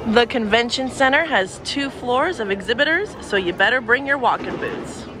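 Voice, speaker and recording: Against noticeable background noise, a woman speaks in an animated, enthusiastic tone at a high pitch. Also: lively intonation, moderate pace. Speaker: vlogger. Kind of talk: promo tour guide walkthrough, upbeat vlog-style sales pitch. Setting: convention center, on location. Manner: animated, enthusiastic, cheerful; brisk, listing booths and numbers.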